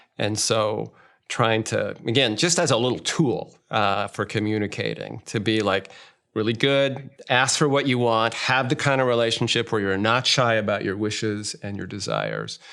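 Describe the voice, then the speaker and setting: With an American accent, a man speaks at a moderate pace in a medium pitch, his bright, sharp tone carrying vocal fry and ordinary pitch variation. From United States. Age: 60s. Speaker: marriage therapist. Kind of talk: interview. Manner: conversational.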